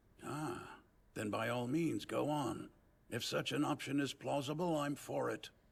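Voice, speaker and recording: A man performs a raspy, put-on character voice. He speaks at a moderate pace and medium pitch. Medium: fan dub. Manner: dry, wry.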